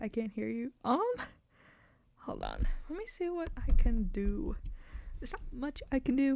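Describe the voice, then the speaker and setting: A soft-spoken woman talks at a moderate pace in a dark, mellow tone. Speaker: VTuber streamer and artist. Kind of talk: casual live stream chat while drawing. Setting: live stream. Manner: quiet, soft-spoken; halting, many fillers. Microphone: too quiet on stream.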